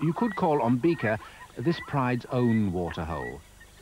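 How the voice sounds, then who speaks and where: At a moderate pace, a man's medium-pitched voice swings very widely in pitch over noticeable background noise. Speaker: narrator. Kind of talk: nature documentary narration.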